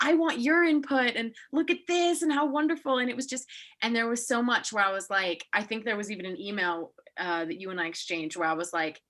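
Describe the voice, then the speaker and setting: A woman's fairly high voice, fairly quick, with very wide pitch swings. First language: German (bilingual with English). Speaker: podcast host, art historian. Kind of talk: casual interview chat.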